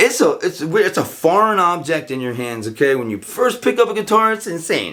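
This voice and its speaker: Animated and bright, sharp in tone, a man with a high pitch talks at a fairly quick pace with very wide pitch swings and hardly any pauses. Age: 40s. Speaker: podcast host. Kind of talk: casual monologue. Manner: animated, heavy filler words.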